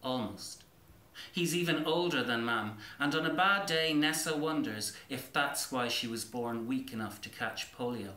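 Speaking with an Irish accent at a fairly slow pace, a man keeps a medium pitch and a bright, sharp tone with ordinary pitch variation amid strong room echo.

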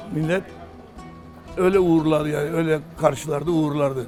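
A fairly high-pitched man talks at a moderate pace with music in the background. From Urla, Turkey. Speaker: local resident, oral history witness. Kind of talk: oral history interview answer.

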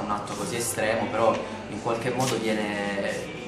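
A man's voice over loud background music, with audible echo from the room. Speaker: stage actor. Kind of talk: interview answer.

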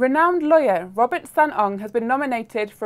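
A woman speaks in an unremarkable speaking voice. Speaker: news presenter. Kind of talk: formal newsreading, scripted bulletin delivery. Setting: studio. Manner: formal, crisp and measured, even pace.

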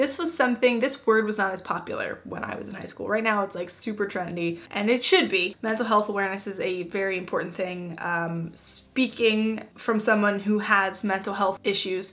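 This woman talks with hardly any pauses and ordinary pitch variation. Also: moderate pace. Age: 20s. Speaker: lifestyle YouTuber; lifestyle vlogger. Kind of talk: casual vlog talk to camera. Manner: animated.

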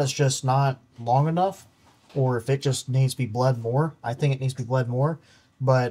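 Somewhat breathy, a man speaks at a moderate pace with fairly even intonation. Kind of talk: tutorial. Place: garage.

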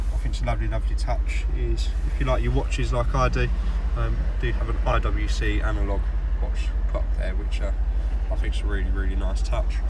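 Background noise is noticeable as a man speaks. His pace is fairly quick. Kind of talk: walkaround commentary. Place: car. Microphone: phone near.

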